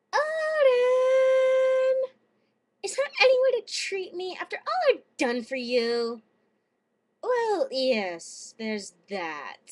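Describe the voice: Using a put-on character voice, a woman speaks at an extremely high pitch. Her pace is very slow, and her loudness swings widely.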